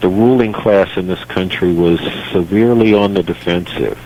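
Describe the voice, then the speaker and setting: Against noticeable background noise, a man with an American accent talks at a moderate pace and fairly low pitch, with ordinary pitch variation. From United States. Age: 60s. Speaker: political activist. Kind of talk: radio interview.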